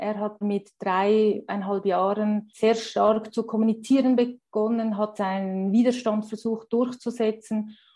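A woman speaks very slowly with a Swiss German accent, her fairly high voice dark and mellow in tone. Her intonation is monotone and flat. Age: 40s. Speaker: primary school teacher and parent. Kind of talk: interview. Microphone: poor sound quality, especially early on.

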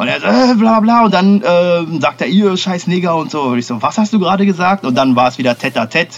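A man speaks with a fairly high pitch and very wide pitch swings. Noticeable background noise runs underneath. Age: young. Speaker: podcast co-host. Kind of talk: casual chat. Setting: remote recording.

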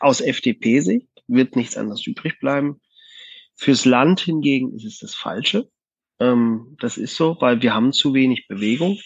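At a fairly slow pace, a man speaks at medium pitch with lively intonation and big swings in loudness. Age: 30s. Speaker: company manager. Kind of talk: casual chat. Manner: hesitant, many fillers.

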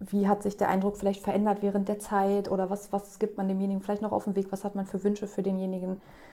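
At a very fast pace, a woman of medium pitch talks in a monotone, flat intonation with a dark, mellow tone. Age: 30s. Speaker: guest with mental illness experience. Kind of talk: casual chat.

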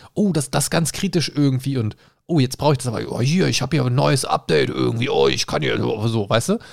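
Vocal fry colors a man's lively intonation as he talks at a fairly quick pace with medium pitch. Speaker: podcast co-host. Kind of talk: casual chat. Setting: recording at his home.

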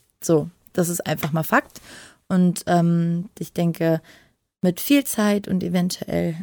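A woman speaks at a fairly low pitch with a dark, mellow tone and ordinary pitch variation. The recording is very clean with a silent background and a dry, close sound with no echo. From western Germany. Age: 30s. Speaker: adult film performer. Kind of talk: casual interview. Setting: separate recording room.

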